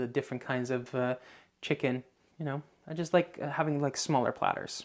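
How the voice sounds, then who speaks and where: Talking at a fairly quick pace, a man with a slight Dutch accent has a medium pitch, on a very clean recording with a silent background. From Netherlands, Lelystad (Flevoland). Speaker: YouTuber. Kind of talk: casual vlog Q&A. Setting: outdoors. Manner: halting, many fillers.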